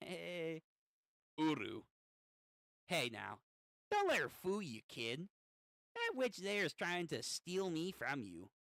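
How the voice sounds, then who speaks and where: At a fairly slow pace with long, frequent pauses, the speaker puts on a character voice pitched in the middle range. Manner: sly, persuasive.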